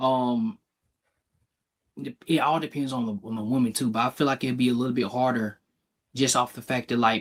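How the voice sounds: A man with a medium pitch and fairly even intonation speaks at a moderate pace, with long, frequent pauses.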